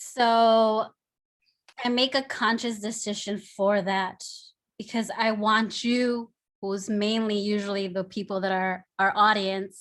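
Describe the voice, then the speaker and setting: Speaking at a very slow pace in a Spanish accent, a woman with a fairly high pitch keeps a monotone, flat intonation in a very clean recording with a silent background. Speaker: artist. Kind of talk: panel discussion.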